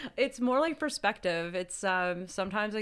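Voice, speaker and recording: This woman speaks at a fairly quick pace in a medium pitch. It is an unremarkable speaking voice. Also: very clean recording, silent background. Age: 30s. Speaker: podcast co-host. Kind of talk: casual chat.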